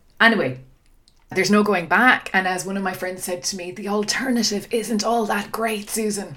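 This is a woman with an Irish accent. Her pitch sits in the medium range. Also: ordinary pitch variation, moderate pace. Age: 40s. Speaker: podcast host. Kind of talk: solo podcast monologue.

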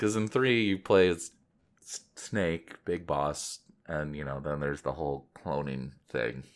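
Very deep and low, a man's voice with vocal fry moves at a fairly slow pace yet keeps a lively intonation. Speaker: video game podcast host. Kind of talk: casual chat. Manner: laughs often.

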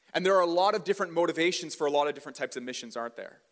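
A man's high voice at a very fast pace, ordinary pitch variation, with a Western Canadian accent. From Canada, British Columbia (Port Coquitlam). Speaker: pastor. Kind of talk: sermon. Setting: church stage with audience. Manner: casual, conversational.

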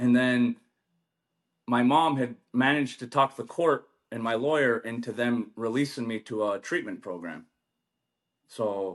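In an American accent, a man speaks at medium pitch with ordinary pitch variation. His pace is moderate and the background quiet. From US-Canada border, Mohawk reservation. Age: 30s. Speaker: union ironworker. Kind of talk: casual chat.

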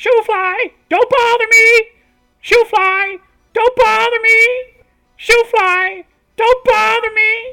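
A put-on character voice with an extremely high pitch speaks at a very slow pace. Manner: repetitive, shrill.

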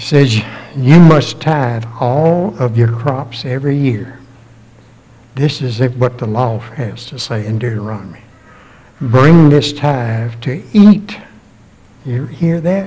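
Speaking at a very slow pace, a man leaves long pauses frequently. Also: medium pitch for a man, ordinary pitch variation. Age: 80s+. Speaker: preacher. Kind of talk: sermon. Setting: church.

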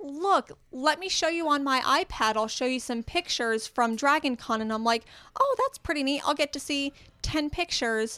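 Her voice raised and projected, a woman with a high pitch and a bright, sharp tone speaks at a moderate pace with ordinary pitch variation, in a dry, close sound with no echo on a very clean recording with a silent background. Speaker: podcast guest. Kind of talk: casual chat.

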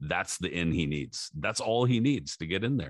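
A man talks with lively intonation and vocal fry. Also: dry, close sound with no echo. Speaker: boxing podcast host. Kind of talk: casual chat. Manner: casual, filler-heavy, uses slang like dude and bro.

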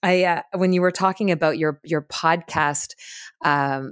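A woman with a fairly low pitch speaks in a warm, enthusiastic tone at a moderate pace with ordinary pitch variation, in a dry, close sound with no echo on a very clean recording with a silent background. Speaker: podcast host. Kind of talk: podcast interview, conversational. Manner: warm, enthusiastic, hesitant with filler words.

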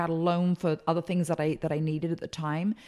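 In a very clean recording with a silent background, a woman with an American accent speaks at a fairly low pitch in a dark, mellow tone. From England. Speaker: speaker and consultant. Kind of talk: interview. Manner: energetic.

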